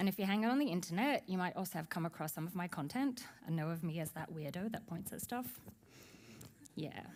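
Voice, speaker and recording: Her pitch medium and her intonation lively, a woman speaks at a fairly quick pace. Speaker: UX designer, conference speaker. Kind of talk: conference talk. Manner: fast.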